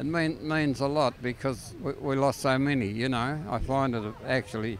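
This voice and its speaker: A man with an Australian accent talks at a moderate pace and medium pitch, with ordinary pitch variation. Noticeable background noise sits behind him. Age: 60s. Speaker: war veteran. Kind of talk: live interview.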